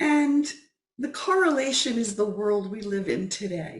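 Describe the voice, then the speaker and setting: This is an ordinary speaking voice with lively intonation. The pace is fairly slow. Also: woman. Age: 60s. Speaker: guest speaker, wellness advocate. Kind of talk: talk. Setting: video call.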